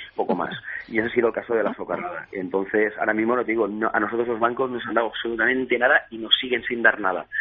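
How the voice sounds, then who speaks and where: A man talks at a very fast pace in a flat monotone, with noticeable noise in the background. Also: medium pitch for a man. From Valencia region, Spain (Xàtiva). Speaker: craft beer entrepreneur. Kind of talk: radio interview. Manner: halting.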